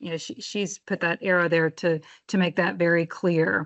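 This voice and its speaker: Her voice rests at a medium pitch as the woman talks. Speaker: housing agency presenter. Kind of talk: presentation. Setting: public meeting. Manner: fast.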